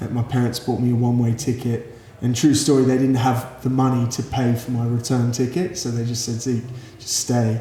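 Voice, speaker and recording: A man with an Australian accent, medium in pitch, at a fairly quick pace with monotone, flat intonation and noticeable background noise. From Australia, Sydney. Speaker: youth pastor. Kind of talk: interview. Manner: halting.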